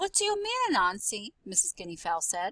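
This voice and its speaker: Using a put-on character voice, a woman speaks at a fairly quick pace with a medium pitch in a dry, close recording with no echo. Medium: read story.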